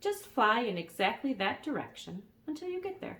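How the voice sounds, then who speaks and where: In a croaky, put-on character voice, a woman speaks at a moderate pace, high in pitch and swinging very widely up and down. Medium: read story.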